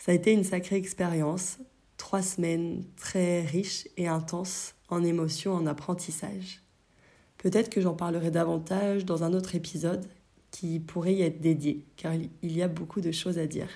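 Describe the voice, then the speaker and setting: Her voice is somewhat breathy, with a dark, mellow tone and a fairly low pitch. The woman speaks at a moderate pace with monotone, flat intonation. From France, Brittany. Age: 20s. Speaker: yoga teacher and podcast host. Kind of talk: solo podcast monologue.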